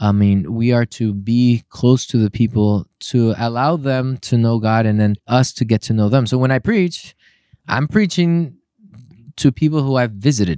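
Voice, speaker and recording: In a very clean recording with a silent background and a dry, close sound with no echo, a man with a Spanish accent speaks at a moderate pace and medium pitch, his dark, mellow tone carrying ordinary pitch variation and very even loudness. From Puerto Rico. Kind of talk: casual interview.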